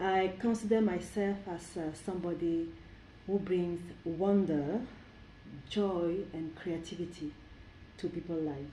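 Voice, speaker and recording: A woman with a fairly low pitch speaks slowly and evenly, taking long, frequent pauses, with audible room echo. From Cameroon. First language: French. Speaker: cultural event organizer. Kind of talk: interview. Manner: halting.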